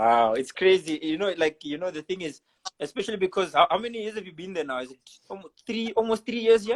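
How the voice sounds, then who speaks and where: A man speaks very fast in a high pitch, his intonation lively. The sound is dry and close, with no echo. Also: big swings in loudness. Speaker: podcast host. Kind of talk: casual interview chat. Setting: Instagram live video.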